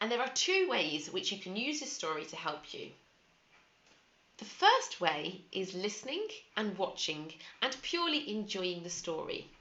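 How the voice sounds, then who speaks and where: A woman with a British accent speaks at a moderate pace in a fairly high pitch, with very wide pitch swings and big swings in loudness over noticeable background noise. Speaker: English pronunciation teacher. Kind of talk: teaching talk to camera.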